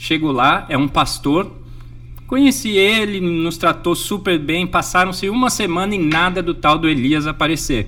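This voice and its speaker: This man speaks at a fairly slow pace with a high pitch. His intonation is lively. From Brazil, Jundiaí, São Paulo state. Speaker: sailor, NGO founder and speaker. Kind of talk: interview.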